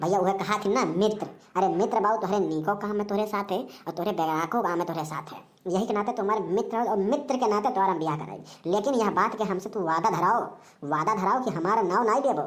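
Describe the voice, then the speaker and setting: In a cartoonish character voice, a woman talks at a fairly quick pace and medium pitch. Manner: folksy, preachy, long-winded.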